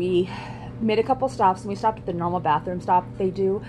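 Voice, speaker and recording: Noticeable background noise behind a woman's medium-pitched voice. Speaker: vlogger. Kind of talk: casual vlog monologue. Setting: in a garage. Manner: fast.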